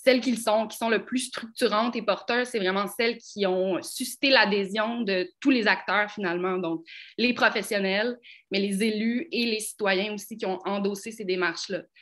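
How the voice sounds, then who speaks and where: With a plain, everyday voice, a woman speaks at a moderate pace with fairly high pitch and ordinary pitch variation on a very clean recording with a silent background. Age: young. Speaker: heritage conservation professional. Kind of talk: panel discussion.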